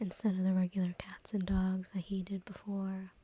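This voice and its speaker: A woman whispers in a soft-spoken, somewhat breathy way. Her tone is calm. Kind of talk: ASMR soft-spoken talk. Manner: soft-spoken, whispered, calm.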